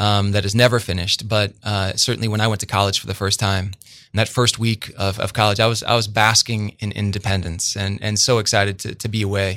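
In a very clean recording with a silent background, a man with a Midwestern US accent speaks at a fairly low pitch in a bright, sharp tone with monotone, flat intonation. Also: fairly quick pace. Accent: US Midwest. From central Illinois (Bloomington). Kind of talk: interview, personal testimony. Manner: repetitive, halting starts.

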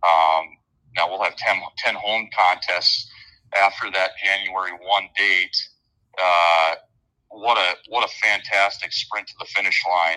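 Talking fairly slowly with long, frequent pauses, a man with an Upper Midwest accent has a very deep, low pitch, a bright, sharp tone and flat, monotone intonation. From Minnesota. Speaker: college hockey head coach. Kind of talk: interview answers, casual chat.

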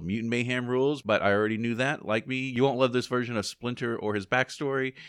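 A man's unremarkable speaking voice, pitched in the medium range and varying in an ordinary way. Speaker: podcast co-host. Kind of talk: casual chat.

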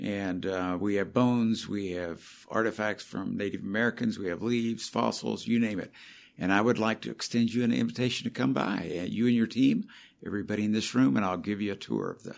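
A man with a normal speaking voice, fairly low in pitch, at a fairly quick pace with ordinary pitch variation. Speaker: museum president. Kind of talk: interview.

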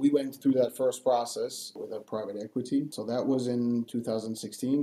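Fairly slow and medium in pitch, a man speaks with a dark, mellow tone. His intonation stays monotone and flat. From France, Paris. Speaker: company executive. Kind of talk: casual interview. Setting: remote call.

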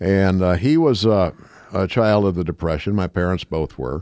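A man with an American accent speaks in a very deep, low pitch with a dark, mellow tone. His pace is moderate and his pitch variation ordinary, over a quiet background. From rural Minnesota. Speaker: morning radio host. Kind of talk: interview. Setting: studio.

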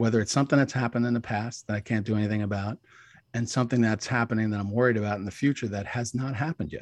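A man with a New York accent talks very fast at a medium pitch with fairly even intonation, his voice dry and close with no echo over a quiet background. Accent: mild New York. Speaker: wellness expert. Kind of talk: podcast interview. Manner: fast talker.

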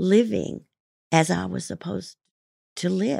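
Very slowly, a woman speaks in a Midwestern American accent, recorded with a dry, close sound and no echo. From Kansas, US. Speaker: guest sharing recovery story. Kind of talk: testimony. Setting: studio. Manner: halting.

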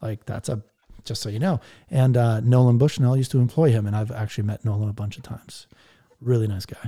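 Talking at a very fast pace, a man with a dark, mellow tone sounds somewhat breathy in a dry, close recording with no echo. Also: medium pitch for a man, ordinary pitch variation. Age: 40s. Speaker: podcaster and startup veteran. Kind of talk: casual interview. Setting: Twitter Spaces live audio.

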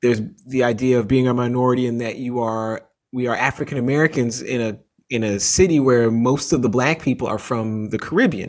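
This man has a plain, everyday voice, medium in pitch, with fairly even intonation. He talks at a fairly quick pace on a very clean recording with a silent background. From Canada, Toronto. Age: 40s. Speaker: author and sports journalist. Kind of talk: interview.

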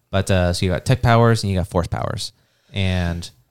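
Very clean recording, silent background, and a man speaking at a moderate pace. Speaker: tabletop gaming podcast host. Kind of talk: casual banter.

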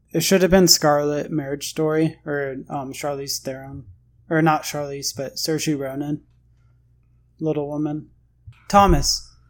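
On a very clean recording with a silent background, the speaker goes fairly slowly and leaves long, frequent pauses. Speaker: podcast host. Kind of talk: casual banter podcast.

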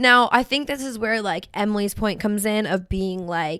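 On a very clean recording with a silent background, a woman with a fairly high pitch and a bubbly tone speaks at a moderate pace with lively intonation. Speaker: podcast co-host. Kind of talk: casual chat.

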